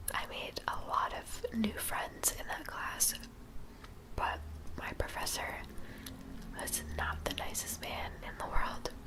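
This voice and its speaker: A woman whispers at a very slow pace in a relaxed tone, with long, frequent pauses and noticeable background noise. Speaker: college student. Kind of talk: casual talk to camera. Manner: soft-spoken, whispery, relaxed.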